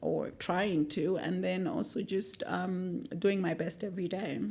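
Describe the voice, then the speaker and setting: At a fairly slow pace, a woman speaks at medium pitch with a dark, mellow tone and vocal fry. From Malawi. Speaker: legal tech professional. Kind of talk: interview. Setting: studio.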